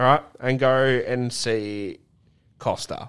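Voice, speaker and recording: In a very clean recording with a silent background, a man speaks very slowly with ordinary pitch variation. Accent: Australian. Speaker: podcast co-host. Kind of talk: casual chat. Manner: animated.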